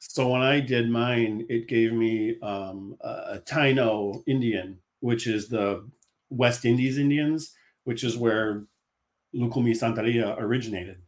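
A man speaks at a fairly slow pace in a medium pitch, with fairly even intonation. It is a plain, everyday voice. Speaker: author. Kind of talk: casual interview chat.

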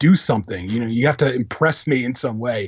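A man speaks very fast with an American accent. His voice is somewhat breathy. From Philadelphia, US. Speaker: film critic. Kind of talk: casual chat.

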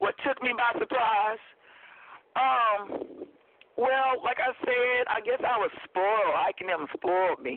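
In an American accent, the speaker goes at a very slow pace with lively intonation. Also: woman, high pitch for a woman. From Oklahoma. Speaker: singer. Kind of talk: casual interview. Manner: animated.

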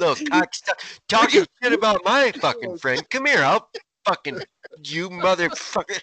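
Raised and projected, a man's high-pitched voice has a bright, sharp tone and very wide pitch swings, moving at a fairly slow pace with long, frequent pauses in a dry, close sound with no echo. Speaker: podcast co-host. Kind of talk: casual banter, comedic rants. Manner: profane, jokey.

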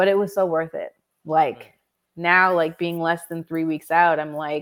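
Speaking at a fairly slow pace, a woman with an unremarkable speaking voice and a fairly low pitch keeps a fairly even intonation on a very clean recording with a silent background. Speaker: copywriter and entrepreneur. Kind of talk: interview.

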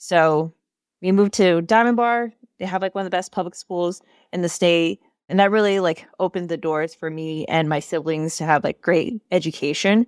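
Someone with an American accent speaks at a moderate pace with ordinary pitch variation. The recording is dry and close with no echo, on a silent background. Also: woman, fairly low pitch for a woman. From Southern California, US. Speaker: program manager at a tech company. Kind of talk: casual interview chat.

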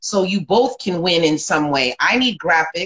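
A woman with an American accent and an unremarkable speaking voice, at a moderate pace with ordinary pitch variation. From South Florida. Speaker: podcast host and SEO marketer. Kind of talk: casual interview. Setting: Instagram Live.

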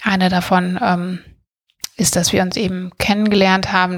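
Here is a woman with an unremarkable speaking voice and a medium pitch. She talks at a moderate pace with fairly even intonation. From Germany, Bergisches Land (Schwelm, near Wuppertal). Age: 30s. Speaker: podcast co-host, TV production background. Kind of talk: casual chat.

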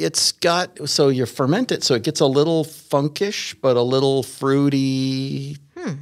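With a plain, everyday voice, a man speaks fairly slowly and with hardly any pauses, his pitch fairly high and its variation ordinary, on a very clean recording against a silent background. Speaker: bassist, guest. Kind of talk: casual chat.

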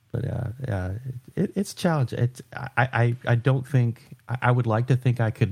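Recorded very cleanly against a silent background, a man speaks in a somewhat breathy voice with a dark, mellow tone and ordinary pitch variation. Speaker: podcast co-host, software developer. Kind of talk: casual chat. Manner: halting, stammers and restarts.

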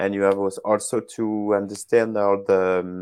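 His voice has a dark, mellow tone. The man talks with a French accent. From France. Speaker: software developer, open-source contributor. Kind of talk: casual interview chat. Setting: phone call. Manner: halting, many fillers.

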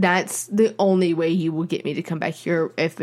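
At a fairly slow pace, a woman speaks in a plain, everyday voice with a fairly low pitch, on a very clean recording with a silent background. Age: 20s. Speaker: podcast co-host, aspiring screenwriter. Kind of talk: casual chat.

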